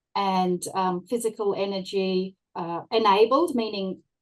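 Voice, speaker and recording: This woman talks at a medium pitch with an Australian accent. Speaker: workplace wellbeing consultant. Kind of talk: panel discussion. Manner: hesitant, many fillers.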